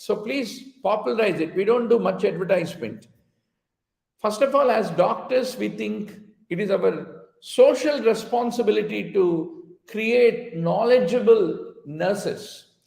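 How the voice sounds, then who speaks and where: Speaking at a fairly slow pace with a Telugu accent, a man with a high-pitched voice varies his pitch in an ordinary way amid audible room echo. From India, Telugu-speaking region. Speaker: physician and exam coaching teacher. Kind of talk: online lecture mixing English and Hindi. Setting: live online class, teaching to camera.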